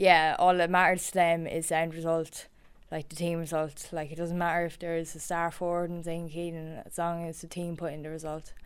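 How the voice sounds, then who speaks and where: A woman with an Irish Midlands accent talks fairly quickly at a fairly low pitch, her intonation monotone and flat. Her loudness swings widely, in a very clean recording with a silent background. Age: 20s. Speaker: camogie player and reporter. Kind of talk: casual chat.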